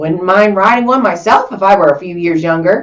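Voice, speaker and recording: A female-sounding, put-on character voice sits at a middle pitch. The pace is moderate. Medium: read story.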